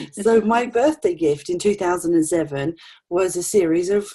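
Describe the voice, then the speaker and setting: A woman's dark, mellow tone at a moderate pace, with ordinary pitch variation and an East Anglian accent. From England, Norfolk. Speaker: retirement consultant. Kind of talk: interview.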